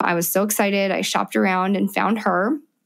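A woman with an American accent speaks in an ordinary speaking voice. Her pitch is medium and her intonation fairly even. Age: 30s. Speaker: mother sharing birth stories. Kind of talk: interview testimony.

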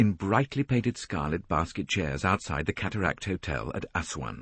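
The voice has noticeable vocal fry. The pace is moderate. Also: man. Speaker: audiobook narrator. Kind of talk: audiobook narration of a mystery novel.

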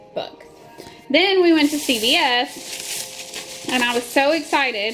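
Clear music plays in the background as a woman speaks at a fairly slow pace with ordinary pitch variation. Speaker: vlogger. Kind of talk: casual vlog chat. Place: home room. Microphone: phone near.

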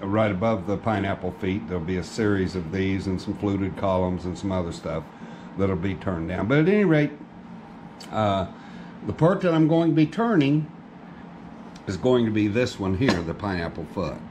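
Through noticeable background noise, a man with a fairly low pitch speaks at a moderate pace, taking long, frequent pauses. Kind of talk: tutorial. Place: workshop.

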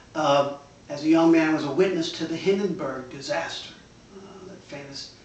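Audible room echo surrounds a voice that moves at a moderate pace with fairly even intonation. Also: man. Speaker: high school English teacher. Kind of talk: interview questions. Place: home room. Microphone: camera far.

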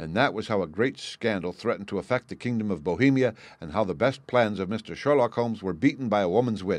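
This is a natural reading voice. Pitch variation is ordinary.

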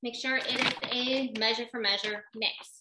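A woman's high-pitched speech comes with noticeable background noise behind it. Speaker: baking class host. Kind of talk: tutorial. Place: kitchen. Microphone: webcam.

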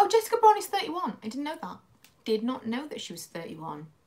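Her loudness swings widely as a woman speaks with a British accent. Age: 30s. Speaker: beauty YouTuber. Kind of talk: casual livestream chat while doing makeup. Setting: at home, live stream. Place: home room. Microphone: phone near.

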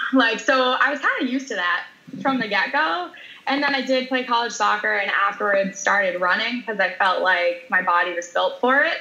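A woman's fairly quick, lively speech at a fairly high pitch, with noticeable background noise. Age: 30s. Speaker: powerlifter and weightlifter. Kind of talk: interview.

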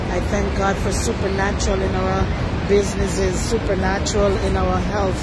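Against crowd noise in the background, a woman speaks at a moderate pace in a dry sound with no echo. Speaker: travel vlogger. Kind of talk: spoken prayer in a casual vlog. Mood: joyful, praising. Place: waterside. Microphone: phone near.

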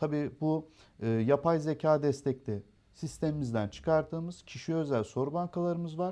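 A man's fairly high, dark, mellow voice at a fairly slow pace, with ordinary pitch variation over a quiet background. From Turkey, Erzurum roots, raised in Darıca. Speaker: education center owner. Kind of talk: interview. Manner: hesitant, frequent filler sounds.

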